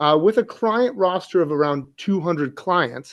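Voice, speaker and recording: Speaking in a New Jersey accent, a man keeps a moderate pace. His intonation is lively. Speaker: hockey coach, podcast co-host. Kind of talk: podcast interview.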